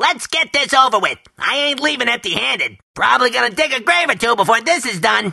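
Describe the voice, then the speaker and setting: In a put-on character voice with fairly high pitch, the speaker talks at a fairly quick pace with hardly any pauses. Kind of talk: video game battle cries. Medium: video game.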